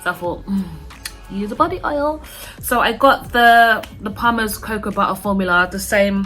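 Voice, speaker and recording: Woman with a British accent, ordinary pitch variation and a moderate pace, music in the background. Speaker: beauty vlogger. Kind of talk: casual product review vlog. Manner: chatty, filler-heavy.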